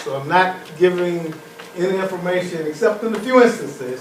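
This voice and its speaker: Through noticeable background noise and audible room echo, a man talks at a fairly slow pace. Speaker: professor. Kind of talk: lecture. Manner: loud.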